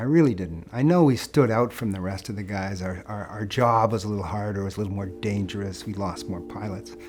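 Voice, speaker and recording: Lively intonation and a fairly quick pace with hardly any pauses come through over noticeable background noise. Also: man, fairly low pitch for a man. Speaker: war veteran, pilot. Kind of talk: interview testimony.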